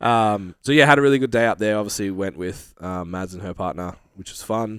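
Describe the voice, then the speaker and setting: A man with an Australian accent speaks at a fairly quick pace. His voice is very deep and low, with ordinary pitch variation. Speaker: fitness podcast co-host. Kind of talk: casual chat.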